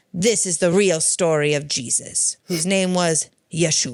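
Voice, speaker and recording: A booming put-on character voice at a middle pitch and a fairly slow pace. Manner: solemn, narrating.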